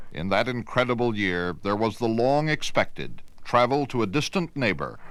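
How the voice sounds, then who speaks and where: A man speaks at a moderate pace with lively intonation and a medium pitch. He has an unremarkable speaking voice. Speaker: news journalist narrator. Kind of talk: documentary news narration.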